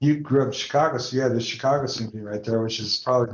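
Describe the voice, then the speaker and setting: A man's medium-pitched voice with an American accent, a plain, everyday voice with ordinary pitch variation. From Denver, Colorado, raised partly in Atlanta. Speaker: entrepreneur. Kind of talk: interview conversation.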